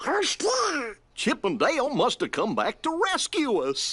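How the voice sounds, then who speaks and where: A put-on character voice, high in pitch with very wide pitch swings. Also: fairly slow pace. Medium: video game.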